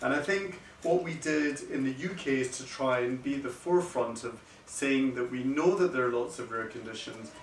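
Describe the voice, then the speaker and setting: Medium-pitched male voice with ordinary pitch variation, noticeable background noise and audible room echo. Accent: Scottish. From Scotland. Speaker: paediatric kidney doctor. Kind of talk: lecture. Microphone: no microphone, speaking unamplified.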